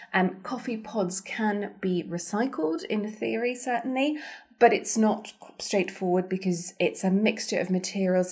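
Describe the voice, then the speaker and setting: A woman with a somewhat breathy voice at a moderate pace. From Germany. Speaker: podcast co-host. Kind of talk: casual chat.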